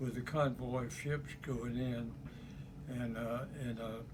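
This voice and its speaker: A man with a South Carolina accent speaks at a very slow pace, leaving long, frequent pauses. His pitch sits in the medium range, and his intonation stays fairly even. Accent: Southern US (South Carolina). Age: 80s+. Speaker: war veteran. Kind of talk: interview answer.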